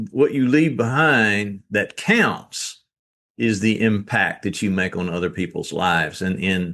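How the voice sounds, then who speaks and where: Spoken at a fairly slow pace with a Southern US accent, the voice sits over a quiet background. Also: man, fairly low pitch for a man. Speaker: author and real estate business owner. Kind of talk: podcast interview.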